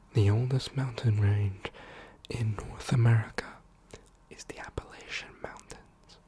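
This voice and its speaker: A voice whispers. Noticeable background noise is heard as well. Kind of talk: ASMR facts talk. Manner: whispered, soft-spoken.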